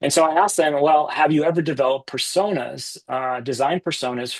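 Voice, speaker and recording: A man speaks in an American accent with fairly even intonation. The sound is dry and close, with no echo. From US East Coast. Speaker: business author and company founder. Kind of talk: podcast interview. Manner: fast.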